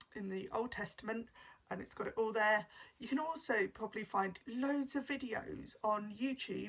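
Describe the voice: Plain reading aloud.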